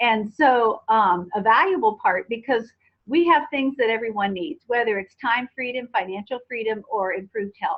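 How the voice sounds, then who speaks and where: A woman with a plain, everyday voice speaks at a moderate pace, her fairly high pitch carried by lively intonation. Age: 60s. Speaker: network marketing distributor. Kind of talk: testimony.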